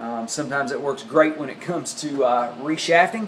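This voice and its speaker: Speaking at a moderate pace with a Southern US accent, a man has a fairly high pitch and ordinary pitch variation. The recording carries noticeable background noise and audible room echo. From US South. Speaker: golf club repair tutorial maker. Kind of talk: tutorial. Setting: home workshop or garage. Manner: casual, many fillers.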